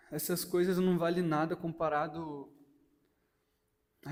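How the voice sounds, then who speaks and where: Audible room echo surrounds the voice. The delivery is fairly slow. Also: man. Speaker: lay preacher. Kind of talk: sermon.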